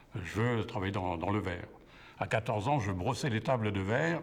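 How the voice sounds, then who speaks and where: This man's voice is somewhat breathy and medium in pitch. He speaks at a moderate pace. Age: 70s. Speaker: retired glass factory worker. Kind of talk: testimony.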